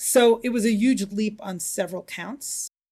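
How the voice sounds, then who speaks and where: On a very clean recording with a silent background, a woman with an American accent speaks at a moderate pace in a somewhat breathy voice with a dark, mellow tone and ordinary pitch variation. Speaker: rabbi. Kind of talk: interview.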